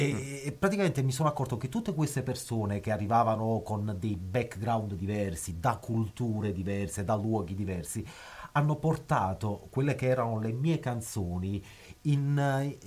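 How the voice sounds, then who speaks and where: At a moderate pace, a man with a medium-pitched, somewhat breathy voice speaks with lively intonation. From southern Italy, northern Naples area. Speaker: musician. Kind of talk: radio interview. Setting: recording studio.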